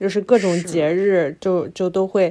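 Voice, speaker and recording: Recorded very cleanly against a silent background, a woman speaks in a dark, mellow tone. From Northeast China (Harbin). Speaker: podcast co-host. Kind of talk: casual chat. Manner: animated.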